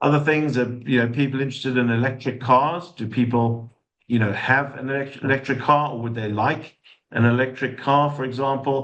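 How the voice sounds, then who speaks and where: A speaker with a South African accent talks at a fairly quick clip, intonation staying fairly even. Some room echo is audible. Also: man. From South Africa, Johannesburg. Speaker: sustainability consultant. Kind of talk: webinar talk. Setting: online session with chat.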